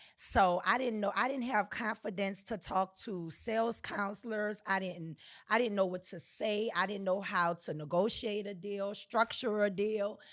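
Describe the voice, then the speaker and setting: A woman with a New Orleans accent talks at a moderate pace in an animated tone with hardly any pauses. The recording is very clean with a silent background. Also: medium pitch for a woman. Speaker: real estate agent. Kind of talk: casual chat.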